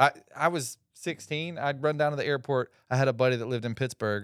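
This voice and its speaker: In an American accent, the voice comes through on a very clean recording with a silent background and a dry, close sound with no echo. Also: man. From Georgia (Atlanta area), US South. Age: 40s. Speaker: Air Force veteran. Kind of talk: casual chat.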